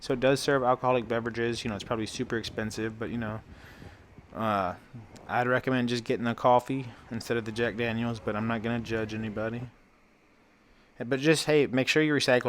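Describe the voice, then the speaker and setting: A man races along at a very fast pace in a medium pitch, keeping his intonation fairly even. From St. Louis, Missouri, US Midwest. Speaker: travel vlogger. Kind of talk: casual vlog tour narration.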